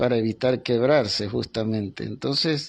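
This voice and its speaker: The intonation is fairly even. This man's pitch is medium. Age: 60s. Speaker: doctor interviewed about an earthquake. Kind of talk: remote interview. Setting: remote connection.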